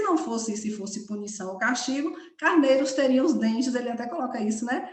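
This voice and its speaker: With audible room echo around her, a woman speaks at a high pitch with lively intonation. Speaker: study group leader. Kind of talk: lecture. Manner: fast.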